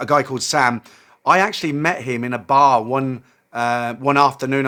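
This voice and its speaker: With a British accent, a man talks at a medium pitch in a bright, sharp tone. His intonation stays fairly even. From UK. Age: 60s. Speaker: expat vlogger. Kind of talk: casual vlog monologue. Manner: hesitant, many fillers.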